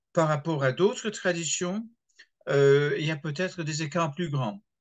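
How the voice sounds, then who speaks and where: Against a quiet background, a man with an English accent and a fairly high pitch speaks at a fairly slow pace. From England. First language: English (speaking French). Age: 70s. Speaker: retired pastor. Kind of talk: interview. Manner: hesitant, with fillers and repetitions.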